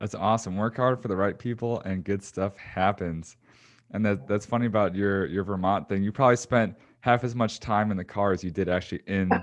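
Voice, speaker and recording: A man with a Chicago accent, fairly low in pitch, at a fairly quick pace with fairly even intonation over a quiet background. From Chicago, US Midwest. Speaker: podcast host. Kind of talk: podcast interview.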